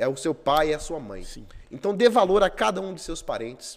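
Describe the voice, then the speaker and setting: Talking at a fairly quick pace, a man uses a high pitch and lively intonation. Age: 30s. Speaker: city councillor and former police investigator. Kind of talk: casual interview.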